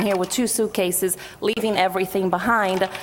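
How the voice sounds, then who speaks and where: A woman at a very fast pace, in a Portuguese accent. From Brazil. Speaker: activist group co-chair. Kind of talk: panel talk.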